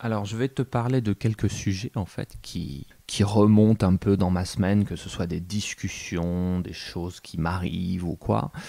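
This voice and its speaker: Dry and close with no echo, this very clean recording with a silent background has a man speaking fairly slowly with a very deep, low pitch, a dark, mellow tone and ordinary pitch variation. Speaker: French teacher. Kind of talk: casual podcast monologue. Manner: natural, unhurried.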